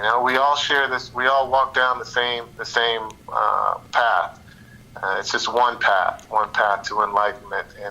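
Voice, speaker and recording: A man's fairly slow speech comes with noticeable noise in the background. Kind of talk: interview. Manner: halting, repeats words.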